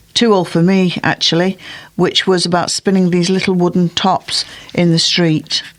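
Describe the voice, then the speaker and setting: Noticeable background noise sits behind the voice. A woman speaks at a medium pitch. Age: 70s. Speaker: poetry reader. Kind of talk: reading aloud. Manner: clear, comfortable pace.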